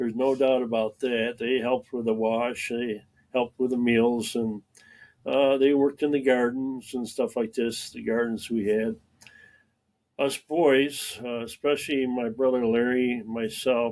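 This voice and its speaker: In a Western New York accent, a man talks at a fairly slow pace with monotone, flat intonation. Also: medium pitch for a man. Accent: Western New York American. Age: 80s+. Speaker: retired farm-raised local resident, army veteran. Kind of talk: casual interview. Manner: halting with frequent fillers.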